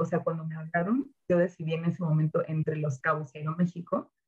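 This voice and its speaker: With hardly any pauses, a woman talks at a fairly quick pace, her fairly low, somewhat breathy voice showing ordinary pitch variation. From Mexico, Jalisco (Ocotlán). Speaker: former flight attendant. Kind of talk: interview, casual chat.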